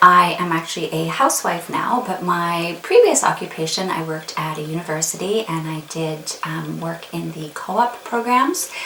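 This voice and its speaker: A woman's fairly low voice in a Canadian accent at a moderate pace, ordinary pitch variation, with noticeable background noise and audible room echo. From Canada, Winnipeg. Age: 40s. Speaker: beauty vlogger. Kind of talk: casual chat.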